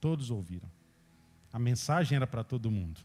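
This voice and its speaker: A man with lively intonation speaks in a somewhat breathy voice with a dark, mellow tone. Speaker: preacher. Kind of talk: sermon.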